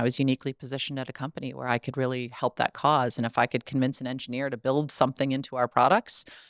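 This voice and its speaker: The recording is very clean with a silent background and a dry, close sound with no echo. A woman speaks with a Midwestern American accent in a very deep, low pitch. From US Midwest, Ohio. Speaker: tech company accessibility executive. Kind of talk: podcast interview. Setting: studio.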